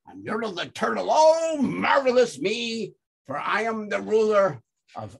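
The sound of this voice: An unforced reading voice with lively intonation is heard against a quiet background.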